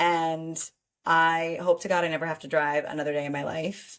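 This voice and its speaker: In a New York accent, a woman speaks at a moderate pace with a fairly low pitch. The recording is very clean, with a silent background. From New York City, Manhattan. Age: 20s. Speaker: podcast co-host. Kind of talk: casual chat. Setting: studio.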